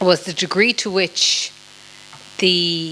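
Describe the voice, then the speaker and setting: A woman in an Irish accent with monotone, flat intonation, over noticeable background noise. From Ireland. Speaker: politician, former member of parliament. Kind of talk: panel discussion. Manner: hesitant, many fillers.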